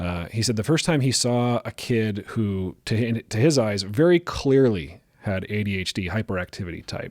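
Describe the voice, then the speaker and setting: A calm tone with lively intonation at a moderate pace, hardly any pauses, on a very clean recording with a silent background. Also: man, fairly low pitch for a man. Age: middle-aged. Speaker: psychologist and podcast host. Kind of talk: casual chat.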